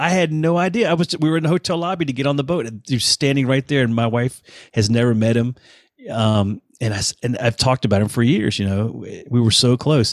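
Dry and close with no echo, this is a man with a plain, everyday voice at a medium pitch. He talks fairly quickly with lively intonation. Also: very clean recording, silent background. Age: 50s. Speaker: touring bassist. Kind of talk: casual chat.

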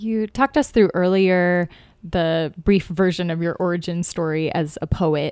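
A woman with an unremarkable speaking voice talks at a fairly slow pace, her fairly low pitch moving with ordinary variation, on a very clean recording with a silent background. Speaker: podcast host. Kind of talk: casual chat. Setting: in-person around a table.

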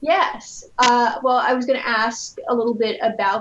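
A woman with an American accent speaks at a fairly slow pace and a fairly high pitch, with noticeable background noise. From Rhode Island, US. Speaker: podcast host. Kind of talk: casual podcast interview.

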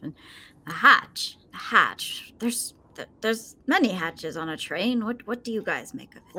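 A female-sounding put-on character voice speaks at a fairly slow pace, pitched fairly high. Long pauses come often. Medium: actual play. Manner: confident, decisive.

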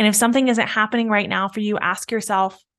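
In a quiet background, a woman speaks in a plain, everyday voice with ordinary pitch variation. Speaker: business coach and podcast host. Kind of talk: pep talk, coaching monologue. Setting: solo podcast recording. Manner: warm, encouraging, motivational; reflective, paced with pauses to let ideas sink in.

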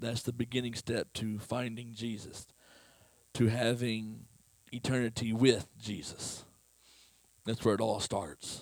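At a fairly slow pace with long, frequent pauses, a man talks in a monotone, flat voice of medium pitch. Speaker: lay preacher. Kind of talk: sermon.

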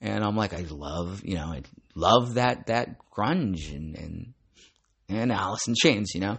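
In a plain, everyday voice, a man talks at a fairly slow pace in a fairly low pitch with lively intonation. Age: 40s. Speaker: comics podcast host. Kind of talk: casual monologue.

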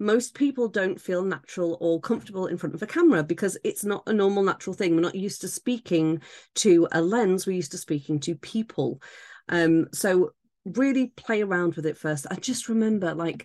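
A woman at a medium pitch in an unremarkable speaking voice, with lively intonation and a fairly quick pace, in a dry, close sound with no echo and a quiet background. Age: 30s. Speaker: temporary podcast host for authors. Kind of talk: solo tutorial monologue.

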